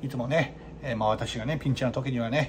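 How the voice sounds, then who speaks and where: Very fast speech from a man, with noticeable noise in the background. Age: 40s. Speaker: izakaya owner. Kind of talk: casual vlog monologue. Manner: many fillers and hesitations.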